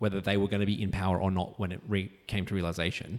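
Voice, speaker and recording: Speaking very fast, a man uses an Australian accent and a fairly low pitch. The recording is very clean, with a silent background. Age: 60s. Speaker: justice of the peace. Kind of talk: interview conversation.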